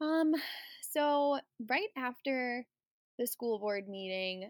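Recorded very cleanly against a silent background, a woman speaks with lively intonation in a dry, close sound with no echo. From US Midwest, Wisconsin. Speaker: elementary school teacher. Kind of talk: interview.

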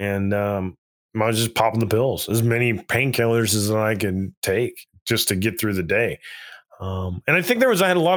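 Over a silent background in a very clean recording, a man talks at a fairly quick pace in a normal speaking voice, pitched fairly low. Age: 40s. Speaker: army veteran. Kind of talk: casual interview testimony.

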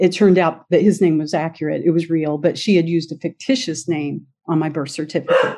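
A woman's dark, mellow voice sits fairly low and keeps a fairly even intonation. She talks at a very fast pace with hardly any pauses. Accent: American. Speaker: adoptee and author. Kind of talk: interview.

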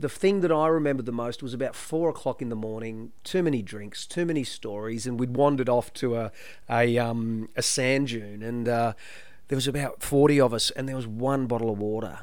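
With an Australian accent, a man of medium pitch talks at a fairly quick pace with ordinary pitch variation in a room with audible echo. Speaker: former mayor and local councillor. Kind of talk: casual chat.

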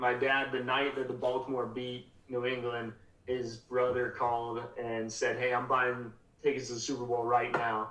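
A man with an American accent at a fairly slow pace, monotone and flat, with audible room echo and noticeable background noise. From Colorado. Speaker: minor league baseball sales executive. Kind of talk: casual chat.

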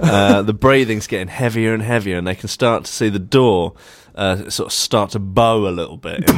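Reading aloud in a natural voice, pitch shifting in an ordinary way

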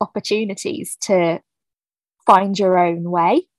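The speaker is a woman with a southern English accent and a medium pitch. Her intonation is monotone and flat, and the sound is dry and close with no echo. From southern England, New Forest. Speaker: children's author, former teacher. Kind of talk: casual interview chat.

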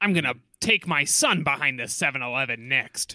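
A put-on character voice at a low-to-middle pitch and a moderate pace. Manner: serious, menacing.

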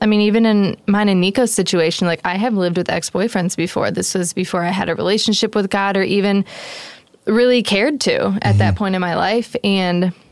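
Speaking at a fairly quick pace with an American accent, a woman keeps her loudness very even and her intonation fairly even in an unremarkable speaking voice. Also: medium pitch for a woman. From suburban Detroit, US Midwest. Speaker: podcast host and wedding photographer. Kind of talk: casual interview chat.

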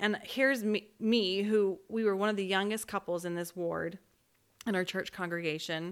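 On a very clean recording with a silent background, a woman with an unremarkable speaking voice talks at a moderate pace at medium pitch, her intonation fairly even. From Utah (Orem). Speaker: podcast co-host, spiritual coach. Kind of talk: casual chat.

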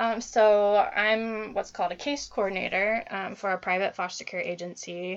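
A woman talks at a moderate pace with hardly any pauses. Her medium-pitched voice keeps a fairly even intonation. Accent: Midwestern US. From US Midwest (Dayton, Ohio). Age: 20s. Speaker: social worker. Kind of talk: casual interview. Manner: hesitant, many fillers.

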